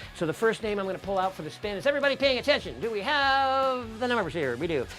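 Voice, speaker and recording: Over background music, a man with a high pitch speaks very fast in an energetic tone, his pitch swinging very widely. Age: 60s. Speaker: chef and cooking show host. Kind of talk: live cooking show with giveaway. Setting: home studio.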